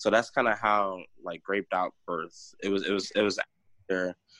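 The sound is dry and close, with no echo. A man with an American accent talks at a fairly quick pace with fairly even intonation. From US Midwest, Chicago and Northwest Indiana. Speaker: sommelier and wine business founder. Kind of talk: casual interview chat. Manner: casual, frequent fillers.

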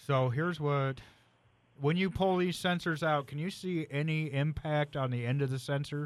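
A man with a normal speaking voice talks at a moderate pace, his fairly high pitch held in fairly even intonation. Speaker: co-host mechanic. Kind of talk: casual call-in radio show. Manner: explanatory, technical.

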